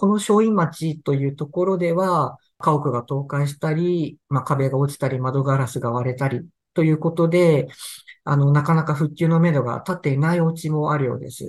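A man with a fairly high pitch speaks at a moderate pace, somewhat breathy, with ordinary pitch variation. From Tohoku, Sendai, Japan. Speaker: newspaper reporter. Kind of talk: interview about news reporting.

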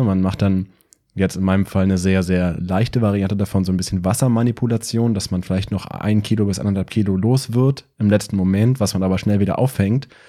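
Very fast and fairly even in intonation, a man speaks with a dark, mellow tone at a fairly low pitch in a very clean recording with a silent background. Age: 30s. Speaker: powerlifter and podcaster. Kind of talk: casual chat.

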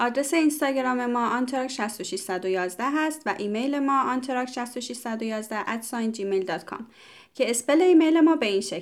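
A woman's high-pitched voice at a moderate pace with lively intonation. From Iran. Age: 30s. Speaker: podcast co-host, graduate student. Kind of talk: casual podcast chat.

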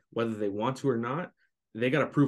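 A man's plain, everyday voice at medium pitch, with ordinary pitch variation. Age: young. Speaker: young online seller and social media creator. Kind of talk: casual interview.

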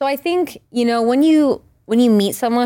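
In an American accent, a woman speaks at a moderate pace with ordinary pitch variation and a plain, everyday voice. The recording is very clean, with a silent background. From rural Maine, US. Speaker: R&B pop singer-songwriter. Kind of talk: casual interview chat. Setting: studio.

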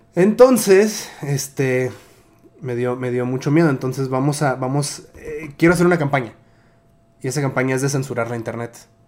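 A man talks at a moderate pace with a fairly high pitch. His pitch varies in an ordinary way, and there is noticeable background noise. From Tijuana, Mexico. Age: 30s. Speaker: podcast host. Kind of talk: casual interview chat.

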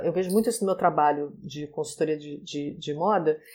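A woman's voice, a normal speaking voice, with ordinary pitch variation at a moderate pace, in a very clean recording with a silent background. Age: 40s. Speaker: style consultant and digital influencer. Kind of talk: casual chat.

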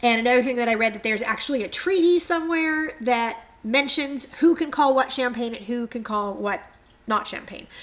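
A woman's high voice at a fairly quick pace, ordinary pitch variation, noticeable background noise. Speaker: podcast co-host, history storyteller. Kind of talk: casual chat.

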